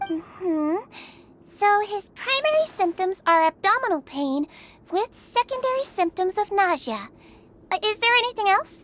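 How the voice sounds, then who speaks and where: A woman's put-on character voice, extremely high-pitched and upbeat, at a moderate pace, dry and close with no echo. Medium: video game. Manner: upbeat, caring.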